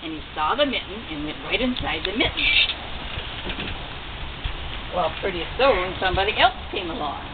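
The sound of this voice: A woman talks fast at a fairly low pitch, her voice making big pitch swings. Background noise is clearly audible.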